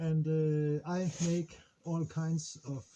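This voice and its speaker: With a dark, mellow tone, a man's voice sounds somewhat breathy. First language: Danish. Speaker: sailing vlogger. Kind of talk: casual vlog. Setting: on a boat in harbor, outdoors. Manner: halting, many fillers.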